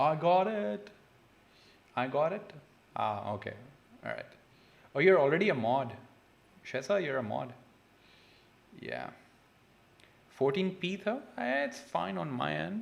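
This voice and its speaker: A man's medium-pitched voice with vocal fry, very wide pitch swings, a fairly slow pace, and long, frequent pauses. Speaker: chemistry tutor. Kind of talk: live-stream tutorial. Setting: livestream. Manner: casual, code-switching.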